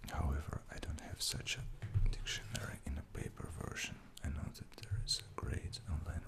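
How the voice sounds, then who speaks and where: The whispering goes at a moderate pace. Noticeable background noise sits behind it. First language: Russian. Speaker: ASMR creator. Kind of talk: ASMR show-and-tell. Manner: soft-spoken; halting.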